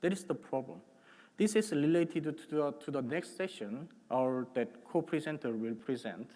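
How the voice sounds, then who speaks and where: Delivered at a moderate pace, the speech carries lively intonation and vocal fry. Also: man. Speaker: tech presenter. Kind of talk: conference presentation. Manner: halting.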